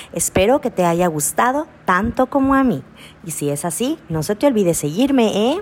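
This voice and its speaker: A woman's medium-pitched voice at a fairly slow pace, with very wide pitch swings and noticeable background noise. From Mexico, Colima. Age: 40s. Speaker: podcast host. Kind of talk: casual chat.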